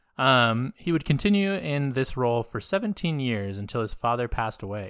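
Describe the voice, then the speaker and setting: A man with an American accent speaks at medium pitch. It is an ordinary speaking voice on a very clean recording with a silent background. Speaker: podcast co-host. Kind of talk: casual chat.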